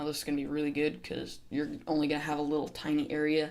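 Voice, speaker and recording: Very fast speech against noticeable background noise. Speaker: gaming youtuber. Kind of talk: tutorial. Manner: casual with fillers.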